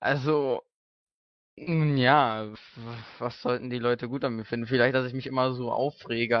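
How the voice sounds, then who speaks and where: A man's flat, monotone delivery. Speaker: let's player. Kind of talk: interview. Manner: hesitant, many fillers.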